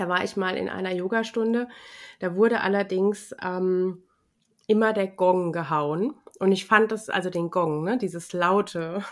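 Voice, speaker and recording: A woman with a normal speaking voice talks fairly slowly at medium pitch with fairly even intonation, on a very clean recording with a silent background. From Rheinhessen, Germany. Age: 40s. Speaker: yoga and ayurveda teacher. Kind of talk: interview.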